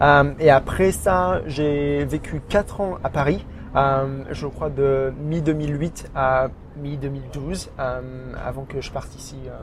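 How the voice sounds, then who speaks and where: Over noticeable background noise, a man with a fairly high pitch speaks at a very slow pace, with big swings in loudness and fairly even intonation. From France, Burgundy (near Auxerre). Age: 30s. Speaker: expatriate interviewee, digital marketing officer. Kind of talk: podcast interview. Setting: outdoor café terrace. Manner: halting, many hesitations.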